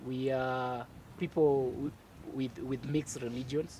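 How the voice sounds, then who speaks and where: A man's dark, mellow, somewhat breathy voice holds a monotone, flat intonation. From Kenya. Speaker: dinner party guest. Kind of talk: casual group discussion.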